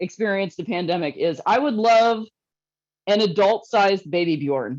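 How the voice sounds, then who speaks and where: An animated tone in a Northeast Ohio accent at a moderate pace. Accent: Inland North US (Akron, Ohio). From northeastern Ohio (Akron, Kenmore). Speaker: comedian. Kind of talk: stand-up.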